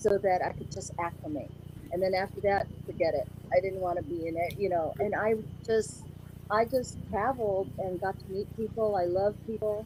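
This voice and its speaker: Fairly even intonation marks this woman's speech in an American accent, heard over noticeable background noise. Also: medium pitch for a woman, moderate pace. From US (came from Philippines at five). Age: 60s. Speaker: interview guest. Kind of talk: casual interview chat.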